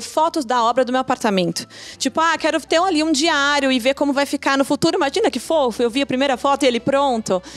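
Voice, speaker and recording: A woman speaks at a fairly quick pace in a high pitch, with a dry, close sound and no echo. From São Paulo, south periphery. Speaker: interior designer, former bank economist. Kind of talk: casual chat.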